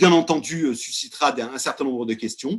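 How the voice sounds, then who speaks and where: A man talks loudly in an animated tone. His pitch swings are very wide. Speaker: company executive presenting products. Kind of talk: webinar presentation. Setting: video call.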